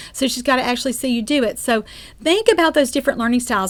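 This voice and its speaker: In a Southern US accent, a woman speaks at a high pitch with lively intonation. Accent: Southern drawl. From US South. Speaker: speech-language pathologist and course instructor. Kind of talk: lecture. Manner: conversational with frequent fillers.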